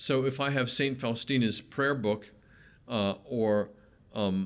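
Captured in a very clean recording with a silent background, a man with an American accent speaks in a plain, everyday voice, medium in pitch with ordinary pitch variation. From Pennsylvania. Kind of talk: interview.

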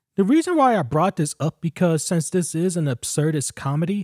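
A man at a moderate pace with lively intonation, recorded very cleanly against a silent background, the sound dry and close with no echo. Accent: American. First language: English, learning Spanish. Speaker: podcast host, film reviewer. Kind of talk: solo film review.

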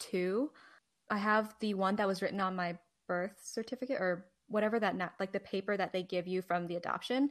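In an American accent, a woman talks at a fairly quick pace with medium pitch and ordinary pitch variation, in an unremarkable speaking voice. The recording is very clean, with a silent background. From New Jersey. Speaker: podcast co-host and Chinese adoptee. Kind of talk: casual interview chat.

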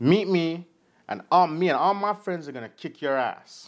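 Speaking at a fairly slow pace, a man with a Jamaican accent has a high pitch. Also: very clean recording, silent background. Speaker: podcast co-host. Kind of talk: casual chat with article reading.

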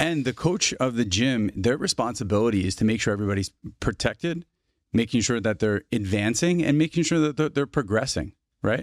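A man with an American accent uses a plain, everyday voice at a medium pitch, with lively intonation, a fairly quick pace and very even loudness. The recording is very clean, with a silent background and a dry, close sound with no echo. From New Jersey. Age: 40s. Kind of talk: casual interview chat.

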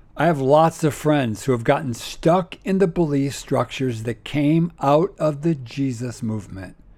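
On a very clean recording with a silent background, a man with an ordinary speaking voice and a fairly high pitch talks at a moderate pace with ordinary pitch variation and hardly any pauses. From United States. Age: 60s. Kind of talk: monologue podcast talk on faith. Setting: recording in an RV, possible background noise.

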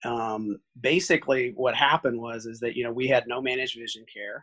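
A plain, everyday voice from a man at a medium pitch comes through at a moderate pace with fairly even intonation, in a dry, close sound with no echo. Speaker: optometrist, practice owner. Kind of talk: casual interview.

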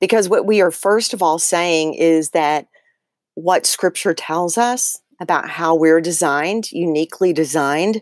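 An energetic woman's voice with a fairly low pitch and ordinary pitch variation comes at a fairly slow pace. The sound is dry and close with no echo, and the loudness is very even. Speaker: author and speaker. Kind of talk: interview. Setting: video call from a closet.

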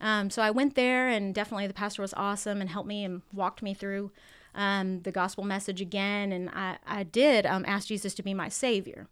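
A woman of medium pitch with an American accent and a normal speaking voice talks at a fairly quick pace with fairly even intonation, in a very clean recording with a silent background. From San Diego, California. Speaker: biblical counselor. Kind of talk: testimony.

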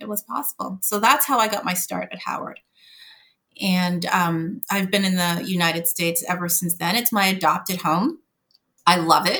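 In a Montreal accent, a woman of medium pitch speaks in a bright, sharp tone with ordinary pitch variation. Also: moderate pace. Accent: Canadian English, Montreal anglophone. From Montreal, Canada (anglophone Quebec). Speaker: corporate lawyer. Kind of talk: interview.

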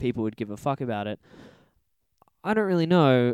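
A man with an Australian accent is heard on a very clean recording with a silent background, the sound dry and close with no echo. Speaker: podcast co-host, film reviewer. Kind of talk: casual chat.

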